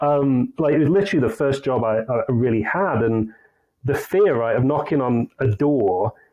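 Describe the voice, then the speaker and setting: A man's medium-pitched voice with a northern English accent and ordinary pitch variation. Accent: English (northern England). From northern England, Leeds. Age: 40s. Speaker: sales consultancy CEO. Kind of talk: podcast interview.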